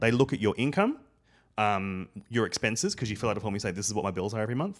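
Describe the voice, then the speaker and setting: An Australian accent marks the speech. Behind it, the background is silent and the recording very clean. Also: man. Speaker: podcast panelist. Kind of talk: casual chat.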